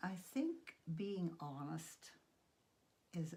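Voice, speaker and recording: A woman's fairly low, somewhat breathy voice with a dark, mellow tone. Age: 80s+. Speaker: piano, voice and painting teacher. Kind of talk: interview answer.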